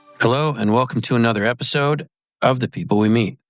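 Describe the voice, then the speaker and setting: A man with a normal speaking voice talks at a fairly quick pace and medium pitch. The recording is very clean, with a silent background. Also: dry, close sound with no echo. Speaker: podcast host. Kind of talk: show intro.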